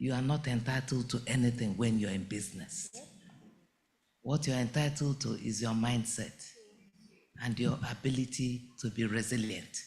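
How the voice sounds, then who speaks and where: With audible room echo around him, a man talks at a moderate pace in a medium pitch, somewhat breathy, with ordinary pitch variation and long, frequent pauses. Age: 70s. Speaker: entrepreneur, bag maker. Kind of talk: conference speech.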